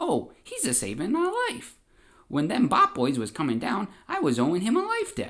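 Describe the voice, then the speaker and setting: A man speaks in a put-on character voice. His pitch sits high, and the pace is moderate. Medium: read story. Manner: naive, bumbling, simple-minded.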